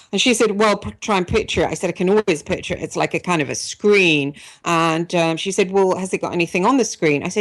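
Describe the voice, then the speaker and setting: A woman with an English accent talks at a fairly quick pace and a fairly low pitch. Her pitch varies in an ordinary way, and the background is quiet. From England. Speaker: radio talk show host. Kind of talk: personal testimony on radio show; radio interview. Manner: hesitant, many fillers.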